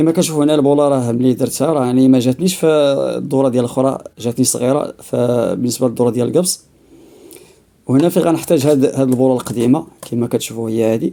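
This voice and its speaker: A man with a Moroccan accent speaks at medium pitch and a fairly quick pace, his dark, mellow tone kept at very even loudness with ordinary pitch variation. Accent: Moroccan Darija. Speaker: DIY repair video maker. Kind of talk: tutorial. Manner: halting, many fillers.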